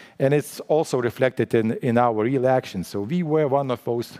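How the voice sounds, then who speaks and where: In a Lithuanian accent, a man speaks at a medium pitch with a dark, mellow tone and ordinary pitch variation, the sound dry and close with no echo. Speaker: central bank official. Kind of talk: conference panel talk. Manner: halting, many restarts.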